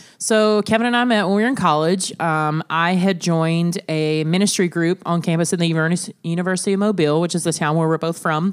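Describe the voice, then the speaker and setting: With a plain, everyday voice, a woman talks at a fairly quick pace with hardly any pauses, her pitch fairly low for a woman with ordinary variation. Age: 30s. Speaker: family podcast co-host, mother. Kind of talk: casual family chat.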